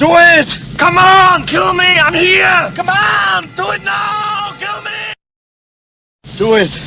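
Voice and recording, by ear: A put-on character voice from a man, shouting at an extremely high pitch in a bright, sharp tone, with vocal fry, ordinary pitch variation, a slow pace and audible room echo.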